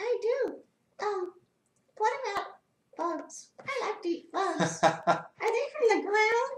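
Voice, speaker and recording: A woman speaks in a cartoonish character voice with an extremely high pitch, at a fairly slow pace, with long, frequent pauses. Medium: puppet.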